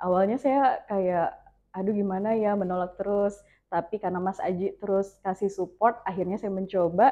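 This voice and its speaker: With fairly even intonation, a woman speaks at a medium pitch and a moderate pace. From North Kalimantan, Tarakan. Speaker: radio announcer and content creator. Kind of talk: interview podcast.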